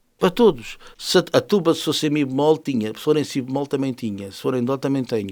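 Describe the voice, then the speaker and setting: Fairly quick speech with hardly any pauses, big swings in loudness and ordinary pitch variation. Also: man, fairly high pitch for a man. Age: 60s. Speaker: musician and jazz festival organizer. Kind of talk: interview. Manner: animated.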